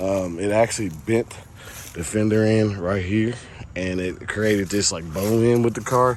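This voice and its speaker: A man speaks at a moderate pace in a fairly low pitch with fairly even intonation. Noticeable background noise runs behind him. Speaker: car hobbyist YouTuber. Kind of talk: casual vlog walkaround. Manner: casual, hesitant with fillers.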